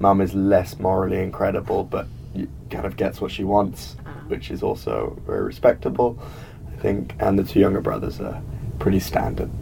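Music plays in the background as a man speaks with a southern British accent. His pace is moderate. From England. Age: young. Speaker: college student. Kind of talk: interview.

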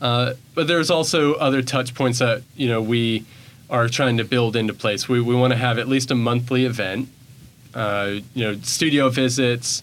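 With a Southern US accent, a man speaks at medium pitch and a moderate pace. His intonation is fairly even and his loudness very even. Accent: US South. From Bentonville, Arkansas. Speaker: arts program director. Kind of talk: interview. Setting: studio.

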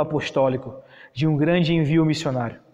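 With a dark, mellow tone, a man talks at a fairly high pitch with fairly even intonation. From Brazil, Piauí (Parnaíba). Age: 20s. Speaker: evangelist, ministry founder. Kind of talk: sermon-style teaching. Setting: online live stream.

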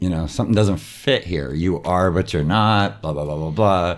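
Very deep, low pitch from a man, with vocal fry and lively intonation. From San Diego, California. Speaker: improviser. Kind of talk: interview.

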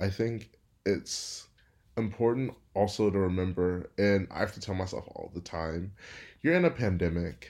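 This man has a normal speaking voice, fairly low in pitch, with an American accent. He talks at a moderate pace with ordinary pitch variation. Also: very clean recording, silent background. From Houston, Texas. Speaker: student government leader. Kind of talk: interview.

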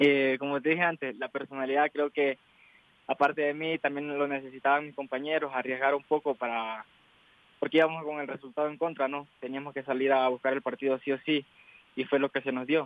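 Speaking fairly quickly, a man with a fairly high pitch keeps a monotone, flat intonation. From Ecuador. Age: 20s. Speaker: footballer. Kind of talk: interview.

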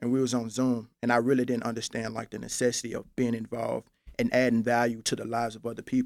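Very fast and monotone, a man delivers flat intonation at a medium pitch. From Memphis, Tennessee. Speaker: college student. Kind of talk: interview conversation.

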